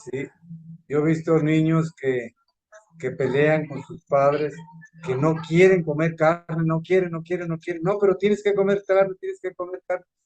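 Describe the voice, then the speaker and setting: With music playing behind him, a man speaks at a moderate pace and a fairly high pitch, his pitch varying in an ordinary way. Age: 70s. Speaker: course participant. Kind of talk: discussion.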